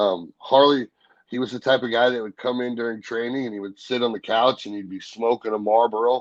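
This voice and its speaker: With an American accent and an unremarkable speaking voice, a man talks at a fairly quick pace and medium pitch, with fairly even intonation in a dry, close sound with no echo. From Missouri. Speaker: professional wrestler. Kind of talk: interview answer, casual storytelling. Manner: relaxed, conversational.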